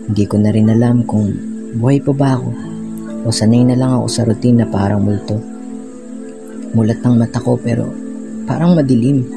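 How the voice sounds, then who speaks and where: Over music in the background, the speaker goes at a fairly quick pace with fairly even intonation and long, frequent pauses. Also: man, medium pitch for a man. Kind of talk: spoken word poetry. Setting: phone recording. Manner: somber, heavy.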